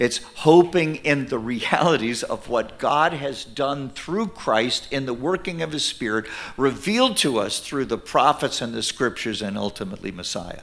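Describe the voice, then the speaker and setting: He talks at a moderate pace, with lively intonation. This man has an ordinary speaking voice, with a fairly high pitch. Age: 60s. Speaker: minister and ministry leader. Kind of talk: sermon. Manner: conversational, with fillers.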